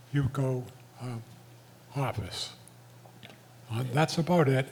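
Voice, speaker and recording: Over noticeable background noise, a man speaks at a medium pitch. His pace is fairly slow and his intonation fairly even. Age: 80s+. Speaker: community association delegate. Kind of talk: community meeting remarks. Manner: halting.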